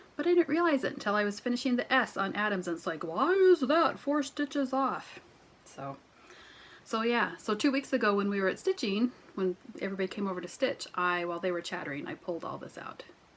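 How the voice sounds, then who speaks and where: A woman with an American accent, fairly high in pitch, fairly quick in pace and with very wide pitch swings, over noticeable background noise. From US Midwest. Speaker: crafting vlogger. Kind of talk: casual chat.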